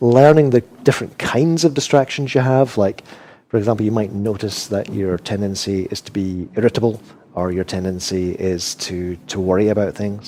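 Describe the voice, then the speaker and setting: Speaking at a moderate pace, a man uses a fairly low pitch with ordinary variation. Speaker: Buddhist meditation teacher. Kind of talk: podcast interview answer.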